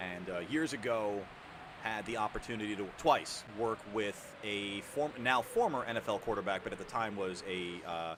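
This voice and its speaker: With an American accent, a man uses a normal speaking voice and ordinary pitch variation. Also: fairly low pitch for a man, moderate pace. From New York. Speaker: gaming streamer. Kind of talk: casual chat.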